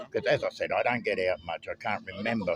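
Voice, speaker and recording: A man with an Australian accent, amid noticeable background noise. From Australia (Victoria). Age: 70s. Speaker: Vietnam War veteran, expat. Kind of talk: street interview. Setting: outdoors. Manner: halting.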